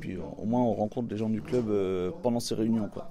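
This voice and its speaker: A man with a plain, everyday voice. His pitch sits fairly low, and he talks at a moderate pace. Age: 30s. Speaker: photo club member. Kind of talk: interview testimony.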